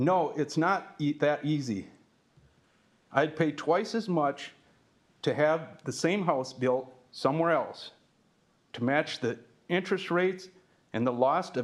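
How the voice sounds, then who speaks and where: With an Upper Midwest accent, a man speaks fairly slowly at a fairly high pitch for a man, using ordinary pitch variation. Long, frequent pauses break up his speech, and the recording is very clean with a silent background. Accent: Upper Midwest (Minnesota). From Farmington, Minnesota. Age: 60s. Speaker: retired construction worker, resident. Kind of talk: public comment at city council meeting. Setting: city council chamber.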